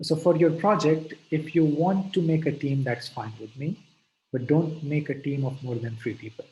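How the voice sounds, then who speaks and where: At a moderate pace, a man talks in a dark, mellow, somewhat breathy voice. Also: fairly high pitch for a man, ordinary pitch variation. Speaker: lecturer. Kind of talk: lecture.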